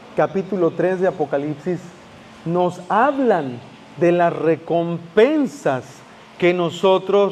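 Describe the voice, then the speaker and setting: Over noticeable background noise, a man talks at a very slow pace in a high pitch with ordinary pitch variation. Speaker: pastor. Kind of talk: sermon.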